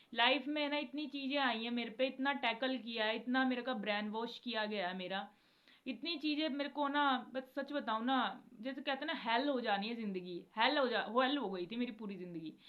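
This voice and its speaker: This woman's voice is high. The pitch moves in an ordinary way. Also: moderate pace. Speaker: devotional video creator. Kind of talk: casual devotional talk to viewers.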